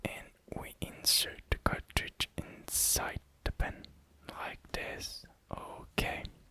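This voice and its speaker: Whispered words come at a very slow pace over noticeable background noise. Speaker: ASMR creator. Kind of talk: ASMR show and tell. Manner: soft-spoken.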